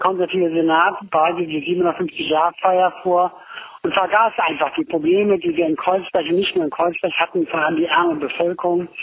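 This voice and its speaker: A man with a high voice keeps a moderate pace while noticeable background noise plays behind him. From Berlin. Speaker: former autonomous left activist. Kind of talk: voice message testimony. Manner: halting.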